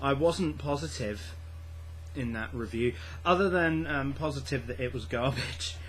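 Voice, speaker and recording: A quiet man with vocal fry at a fairly slow pace, with very wide pitch swings and audible room echo. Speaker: book vlogger. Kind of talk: casual vlog. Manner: hesitant, many fillers and repeats.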